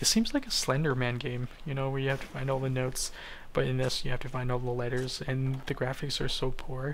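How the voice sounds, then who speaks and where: Quietly and at a fairly quick pace, a man with a medium pitch speaks in a monotone, flat intonation amid audible room echo. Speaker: gaming YouTuber. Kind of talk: gameplay commentary narration. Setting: at workplace, night shift. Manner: quiet, hushed.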